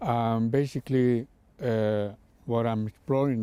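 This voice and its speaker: The man's voice has a dark, mellow tone. He speaks fairly slowly, his intonation fairly even. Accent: Spanish. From Spain. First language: Spanish. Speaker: artist. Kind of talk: interview. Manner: hesitant, many fillers.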